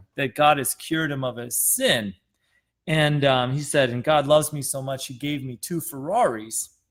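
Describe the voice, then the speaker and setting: A man with an American accent speaks at a fairly high pitch with ordinary pitch variation and a moderate pace. The recording is very clean, with a silent background. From Wisconsin, US Midwest. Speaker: pastor. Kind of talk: testimony.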